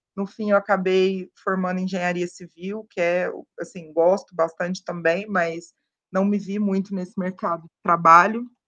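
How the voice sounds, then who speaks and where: At a moderate pace, a woman speaks in an unremarkable speaking voice. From Minas Gerais interior, Brazil. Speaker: sales enablement professional. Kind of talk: podcast interview.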